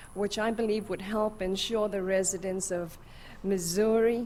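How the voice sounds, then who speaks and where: A woman with a South African accent talks at a medium pitch. Her pace is moderate and her pitch varies in an ordinary way. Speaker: medical advocacy fellow, witness. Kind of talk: testimony.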